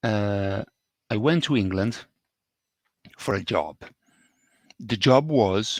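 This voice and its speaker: In an Italian accent, a man speaks at a very slow pace. The sound is dry and close with no echo. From Italy. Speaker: English teacher. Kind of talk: podcast monologue. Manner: slow, repetitive for learners.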